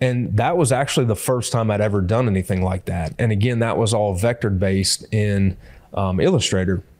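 Speaking at a fairly quick pace, a man with a fairly low pitch keeps his loudness very even and his pitch variation ordinary. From US Midwest, Hancock County, Illinois. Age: 40s. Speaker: wildlife artist. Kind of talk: casual chat.

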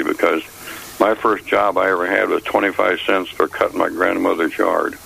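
A fairly quick man with an American accent, over noticeable background noise. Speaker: caller. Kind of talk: casual chat.

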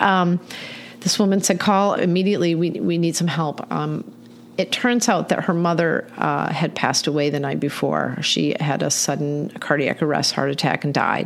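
A woman with an American accent and a fairly low pitch speaks at a moderate pace with ordinary pitch variation over noticeable background noise. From Michigan. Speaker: animal welfare nonprofit director. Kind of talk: casual interview.

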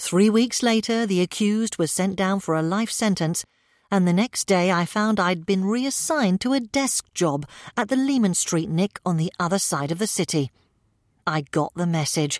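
At a moderate pace and medium pitch, a woman speaks in an unremarkable speaking voice with lively intonation and very even loudness, on a very clean recording with a silent background and a dry, close sound with no echo. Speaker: audiobook narrator. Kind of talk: literary audiobook reading, first-person crime narration.

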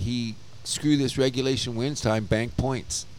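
At a fairly slow pace, a man with a Canadian accent speaks at a medium pitch. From Canada. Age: 60s. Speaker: sports podcast co-host. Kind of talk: casual chat. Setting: bar. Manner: animated.

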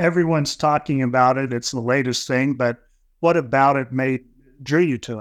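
An ordinary speaking voice from a man, medium in pitch with ordinary pitch variation, at a moderate pace against a quiet background. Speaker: podcast co-host. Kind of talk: casual chat. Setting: video call.

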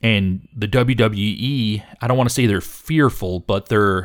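Using a normal speaking voice, this man sits at a medium pitch. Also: very clean recording, silent background. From Michigan. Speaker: wrestling podcast host. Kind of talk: casual chat.

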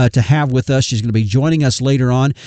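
The man's medium-pitched voice has a dark, mellow tone and ordinary pitch variation, recorded dry and close with no echo over a quiet background. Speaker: radio host. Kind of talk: radio interview.

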